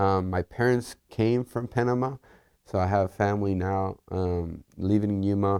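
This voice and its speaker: At a moderate pace, a man with a Spanish accent speaks at a fairly low pitch and with fairly even intonation on a very clean recording with a silent background. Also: dry, close sound with no echo. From Puerto Rico. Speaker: engineer and test team lead. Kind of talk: interview. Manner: hesitant, many fillers.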